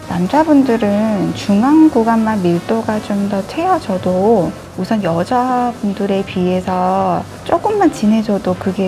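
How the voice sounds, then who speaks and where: Music plays in the background while a woman speaks at a very slow pace. Her voice is medium in pitch, with lively intonation. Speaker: semi-permanent makeup artist and instructor. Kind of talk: tutorial narration during procedure. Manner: unusually polished, articulate.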